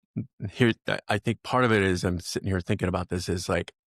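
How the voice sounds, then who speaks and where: In a very clean recording with a silent background and a dry, close sound with no echo, a man speaks at a fairly quick pace in a plain, everyday voice, his fairly low pitch held in fairly even intonation. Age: 60s. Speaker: podcast host, relationship coach. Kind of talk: casual chat.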